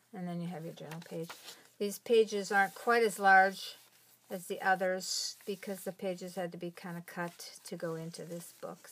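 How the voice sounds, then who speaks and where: A woman speaks at a moderate pace in a monotone, flat intonation. Light background noise sits behind her. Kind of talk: casual show-and-tell.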